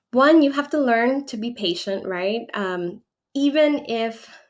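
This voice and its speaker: A woman speaks with a Spanish accent in a very clean recording with a silent background. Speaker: relocation advisor and channel owner. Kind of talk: livestream Q&A. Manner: conversational with frequent fillers.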